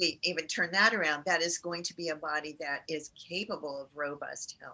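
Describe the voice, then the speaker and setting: Noticeable background noise runs under a woman speaking. Her pitch is fairly low and her pace moderate. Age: 60s. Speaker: integrative cancer care doctor. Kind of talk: interview conversation. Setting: podcast interview.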